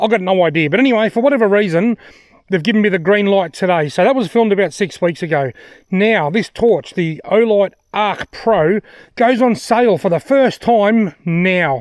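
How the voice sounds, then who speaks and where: Speaking in an Australian accent, a man with a high pitch and lively intonation keeps a moderate pace and very even loudness. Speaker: outdoor gear reviewer. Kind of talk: product review vlog. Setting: outdoors in the bush.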